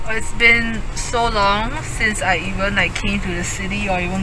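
A woman talks at a fairly slow pace with ordinary pitch variation. The sound is dry with no echo, though there is noticeable background noise. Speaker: vlogger. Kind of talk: casual vlog chat. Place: car. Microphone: phone near.

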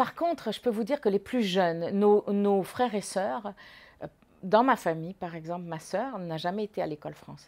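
Her delivery moves at a moderate speed. This woman's pitch rises and falls in an ordinary way. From Morocco. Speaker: former student; interviewee. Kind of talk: testimony. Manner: halting. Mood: calm, reflective reminiscing. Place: home room.

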